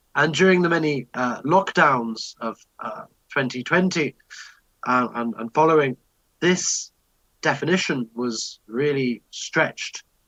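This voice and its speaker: A man speaks at a fairly slow pace with a fairly high pitch, a bright, sharp tone, and ordinary pitch variation. The sound is dry and close with no echo, and his pauses are long and frequent. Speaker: musicologist presenter. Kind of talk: conference talk. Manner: hesitant. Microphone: poor sound quality.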